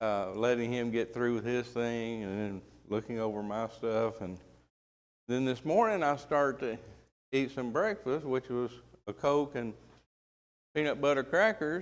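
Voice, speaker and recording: With a Southern accent, a man at medium pitch talks at a moderate pace with ordinary pitch variation and long, frequent pauses. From US South. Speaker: Bible class teacher. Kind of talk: Bible class lecture. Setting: church classroom, live stream. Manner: casual, folksy.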